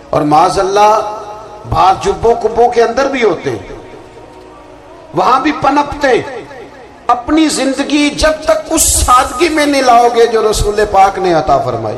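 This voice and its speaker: An extremely high-pitched man with lively intonation over background music. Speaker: Islamic preacher giving a religious sermon. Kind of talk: religious sermon (bayan).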